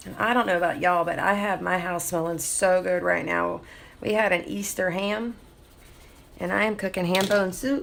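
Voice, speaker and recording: In a Southern US accent, a woman speaks at medium pitch and a moderate pace with fairly even intonation. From US South. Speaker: artist livestreamer. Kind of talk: live stream drawing tutorial chat. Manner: casual, chatty with fillers.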